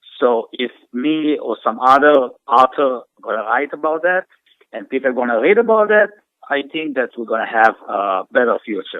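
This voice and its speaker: Very wide pitch swings at a moderate pace. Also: man, fairly high pitch for a man. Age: middle-aged. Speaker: author. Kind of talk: interview. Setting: radio studio. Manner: halting.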